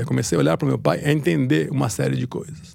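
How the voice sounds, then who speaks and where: The voice swings very widely in pitch, with vocal fry and a dark, mellow tone. It moves at a fairly quick pace. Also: man. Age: 50s. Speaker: writer and editor. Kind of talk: interview.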